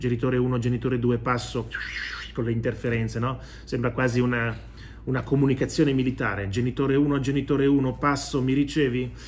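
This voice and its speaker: A man speaks at a fairly quick pace in a medium pitch, his intonation monotone and flat, over light background noise. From Italy. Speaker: video commentator and economics professor. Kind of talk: news commentary monologue to camera. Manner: conversational, opinionated, mocking. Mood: ironic, mocking. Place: home room. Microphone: phone near.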